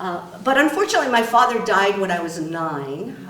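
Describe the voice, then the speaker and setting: Over noticeable background noise and audible room echo, a woman speaks at a moderate pace and medium pitch with lively intonation. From Japan. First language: Japanese. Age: 60s. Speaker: state supreme court justice. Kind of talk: public talk.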